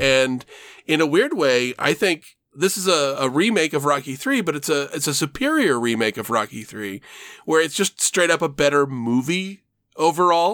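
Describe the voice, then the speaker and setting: A man with a plain, everyday voice talks at a moderate pace with lively intonation, recorded very cleanly against a silent background. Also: fairly high pitch for a man. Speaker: podcast host. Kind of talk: casual chat.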